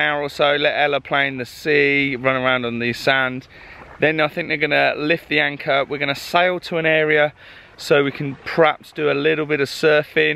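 A man talks in a flat, monotone way. The sound is dry, with no echo at all. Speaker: travel vlogger. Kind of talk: casual vlog chat. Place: beach. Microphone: phone near.

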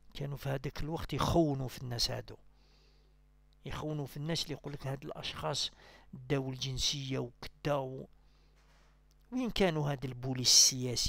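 The intonation stays fairly even. Long pauses come often. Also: man, fairly high pitch for a man, moderate pace, dry sound with no echo. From Algeria. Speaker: political commentator. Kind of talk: political monologue. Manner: halting. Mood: critical, argumentative. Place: home room.

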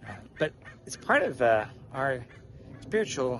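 The sound of this man's voice is dry with no echo, with light background noise. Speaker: walking vlogger. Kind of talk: casual vlog chat. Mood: relaxed, reflective. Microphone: phone near.

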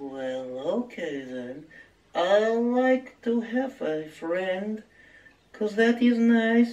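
A man uses a cartoonish character voice, pitched high and delivered very slowly. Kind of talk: comic cartoon voice. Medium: puppet show. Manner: slow, good-natured.

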